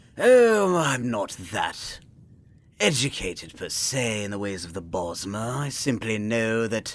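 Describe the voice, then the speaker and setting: A man performs a put-on character voice. He talks at a fairly slow pace. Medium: role play.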